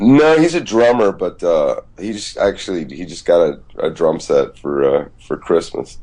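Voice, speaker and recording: A man talks at a fairly slow pace with hardly any pauses. Noticeable background noise is present. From Georgia, US South (Decatur, Atlanta). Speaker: musician. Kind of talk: casual chat.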